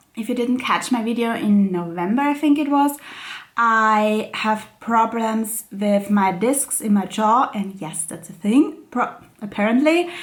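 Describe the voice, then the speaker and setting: Pitched fairly high and somewhat breathy, a woman with an Austrian accent speaks at a fairly slow pace with lively intonation. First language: German. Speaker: crafting YouTuber. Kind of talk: casual vlog chat. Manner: hesitant, many fillers.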